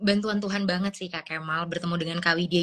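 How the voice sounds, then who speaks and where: Here is a woman with a normal speaking voice. Her pitch is medium, with ordinary pitch variation. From Papua, Indonesia. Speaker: graduate student abroad. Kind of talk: interview. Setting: Instagram live stream.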